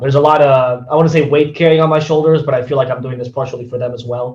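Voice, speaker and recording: This man talks at a very fast pace with a medium pitch and fairly even intonation. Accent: slight Spanish. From Spain, Barcelona. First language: Spanish and Catalan. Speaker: esports caster. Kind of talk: podcast interview. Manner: halting, many repeated words.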